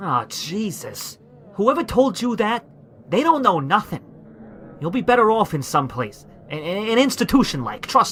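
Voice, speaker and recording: Putting on a gruff character voice, a man talks at a moderate pace in a high pitch, with very wide pitch swings, big swings in loudness, and long, frequent pauses. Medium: audio drama. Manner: gruff, stammering, ungrammatical.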